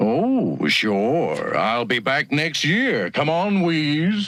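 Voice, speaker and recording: A man's put-on character voice, fairly high-pitched and very slow. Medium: audio drama. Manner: smooth, persuasive, oily.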